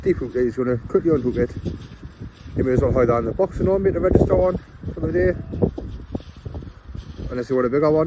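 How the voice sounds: Faint background noise sits behind a man with a dark, mellow tone and a medium pitch with ordinary variation. He talks at a fast pace but with long, frequent pauses.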